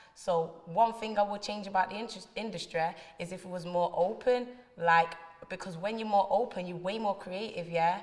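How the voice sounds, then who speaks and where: A woman with a strong Manchester accent, medium pitch and fairly even intonation, at a moderate pace with big swings in loudness and noticeable background noise. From northern England, north Manchester. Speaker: musician and poet. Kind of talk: interview answers. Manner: casual slangy.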